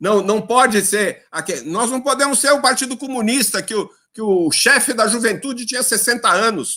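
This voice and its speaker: A raised, projected voice comes through with an animated tone at a fairly slow pace. Music plays in the background. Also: man. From São Paulo, Brazil. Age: 70s. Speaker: politician. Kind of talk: lecture. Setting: video call.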